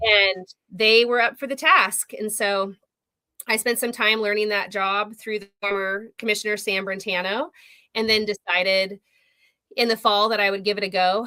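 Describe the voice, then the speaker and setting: A woman with an American accent speaks at medium pitch in a bright, sharp tone with fairly even intonation. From Oregon. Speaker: politician, county commissioner. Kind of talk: interview. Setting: livestream. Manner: fast.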